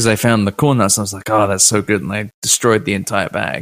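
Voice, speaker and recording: A man with a British accent talks at a fairly quick pace and a fairly low pitch. The recording is very clean, with a silent background and a dry, close sound with no echo. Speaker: PR professional and podcaster. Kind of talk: casual chat.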